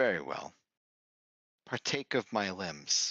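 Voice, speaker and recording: A man puts on a raspy character voice with a fairly low pitch, speaking at a fairly slow pace. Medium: actual play. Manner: terse, formal.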